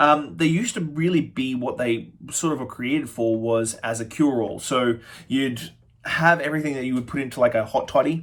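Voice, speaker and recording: The man's pitch is medium and varies in an ordinary way. He speaks at a fairly quick pace. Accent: Australian. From Australia. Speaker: spirits reviewer, bartender. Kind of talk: product review tasting. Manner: fast; casual, halting with fillers.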